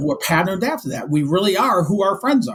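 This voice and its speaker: A man with an American accent talks at a very fast pace, his high pitch carried by lively intonation. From Michigan. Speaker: business and life coach. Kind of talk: podcast interview.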